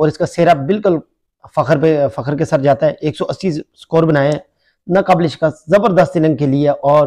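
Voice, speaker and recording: A man at a fairly slow pace with fairly even intonation over a quiet background. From Pakistan. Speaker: YouTube vlogger. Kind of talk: vlog commentary. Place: home room. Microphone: phone near.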